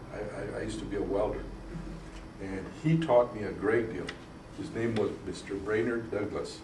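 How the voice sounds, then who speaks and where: A man speaks with long, frequent pauses. Audible room echo and noticeable background noise fill the recording. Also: moderate pace. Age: 60s. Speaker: state legislator. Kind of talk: interview. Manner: halting.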